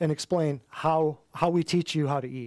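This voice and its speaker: In an American accent, a man speaks at a fairly high pitch. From Michigan. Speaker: natural health practitioner. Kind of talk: class talk to a live audience. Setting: office classroom with audience. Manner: animated.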